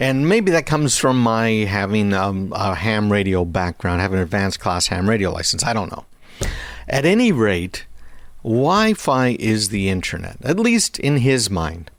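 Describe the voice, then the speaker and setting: Lively in intonation and fairly low in pitch, a man speaks at a moderate pace amid noticeable background noise. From Quebec. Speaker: tech radio host. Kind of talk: radio talk show monologue.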